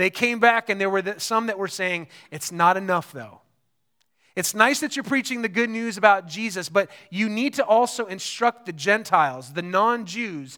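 A man with a high-pitched voice speaks at a moderate pace, his tone bright and sharp and his voice raised and projected. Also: ordinary pitch variation. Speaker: pastor. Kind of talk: sermon. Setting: church service with congregation. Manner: warm and encouraging.

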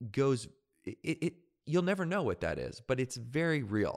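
On a very clean recording with a silent background, a man with an unremarkable speaking voice talks fairly quickly. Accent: Canadian. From Canada, Victoria BC. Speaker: professional speaker. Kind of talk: interview.

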